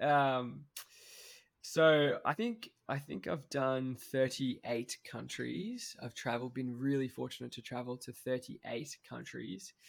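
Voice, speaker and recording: In a very clean recording with a silent background, a man with an Australian accent speaks at a fairly slow pace with big swings in loudness. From Australia, Cairns, far north Queensland. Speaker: travel photographer and YouTube filmmaker. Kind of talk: casual interview. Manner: halting, many fillers and restarts.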